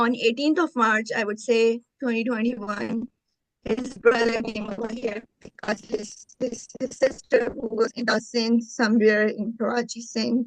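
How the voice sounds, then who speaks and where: A woman talks at a fairly slow pace. Her fairly high voice stays monotone and flat. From Pakistan. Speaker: marriage fraud victim. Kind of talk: interview testimony.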